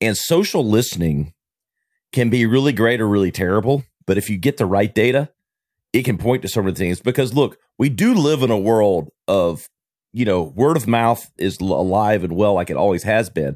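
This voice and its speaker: A plain, everyday voice: a man at fairly low pitch and moderate pace, with lively intonation and very even loudness, on a very clean recording with a silent background. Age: 40s. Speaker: marketing agency owner, podcaster. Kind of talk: casual interview conversation. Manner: jovial, laughs often.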